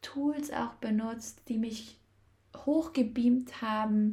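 A woman speaks with a fairly high pitch. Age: 20s. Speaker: podcast host and feminine-energy coach. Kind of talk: solo podcast monologue.

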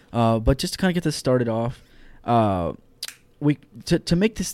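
A man with an American accent and a plain, everyday voice, medium in pitch, lively in intonation, at a moderate pace. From Houston, Texas. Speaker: astrophysics student. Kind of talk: casual science explanation.

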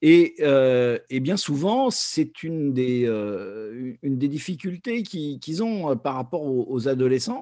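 A man speaks at a very slow pace with a fairly high pitch and a dark, mellow tone. His intonation is lively, and the recording is very clean with a silent background. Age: 60s. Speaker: education activist and former association president. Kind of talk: testimony interview. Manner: halting, many hesitations.

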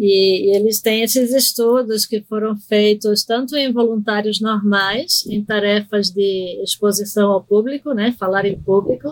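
Pitched fairly high, a woman speaks at a fairly slow pace with hardly any pauses, fairly even intonation and very even loudness, in a dry, close sound with no echo. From Recife, Brazil (born in Argentina). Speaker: psychiatrist. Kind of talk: interview on medical topic.

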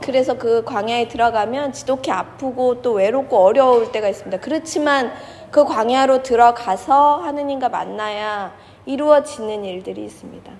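A woman's high-pitched voice at a moderate pace, with big swings in loudness. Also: ordinary pitch variation. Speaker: pastor. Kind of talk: sermon. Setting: church.

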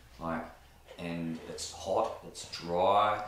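With an Australian accent, a man speaks at a very deep, low pitch. His intonation is fairly even, and there is noticeable background noise. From Newcastle, New South Wales, Australia. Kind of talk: casual interview chat. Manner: hesitant, many fillers.

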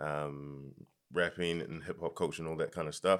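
A man talks at a moderate pace with a New Zealand accent. The recording is very clean, with a silent background. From New Zealand, Nigerian parents. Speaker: music artist. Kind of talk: casual chat.

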